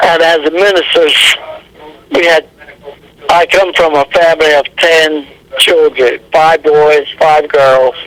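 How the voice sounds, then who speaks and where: A man with an American accent and a fairly high pitch, very slow pace, long, frequent pauses, fairly even intonation, very even loudness, and noticeable background noise. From Delaware and Mid-Atlantic US. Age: 90s. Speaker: war veteran. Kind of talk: oral history interview. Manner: halting.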